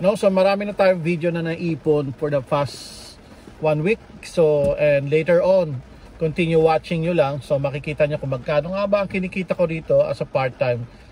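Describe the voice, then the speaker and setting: The sound is dry, without any echo. This man keeps to a moderate pace. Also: ordinary pitch variation. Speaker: food delivery driver vlogger. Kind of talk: casual vlog chat. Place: car. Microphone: phone near.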